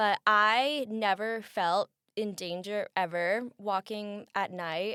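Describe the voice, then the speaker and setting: In a very clean recording with a silent background and a dry, close sound with no echo, a woman with a Midwestern American accent speaks loudly in a bright, sharp tone with ordinary pitch variation. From US Midwest. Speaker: college student. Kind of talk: casual interview. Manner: loud, expressive.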